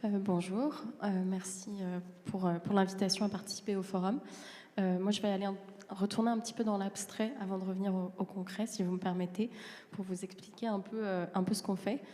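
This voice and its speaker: A somewhat breathy woman's voice with a dark, mellow tone and monotone, flat intonation. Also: medium pitch for a woman, moderate pace. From France. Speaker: transport consultant. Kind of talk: panel presentation. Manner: halting, many hesitations.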